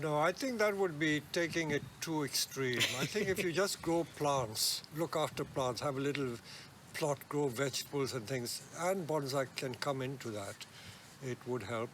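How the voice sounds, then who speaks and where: A man with a fairly high voice and lively intonation at a moderate pace, amid noticeable background noise. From India, Kolkata. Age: 80s+. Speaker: bonsai nursery owner. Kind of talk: interview. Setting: outdoors at a nursery.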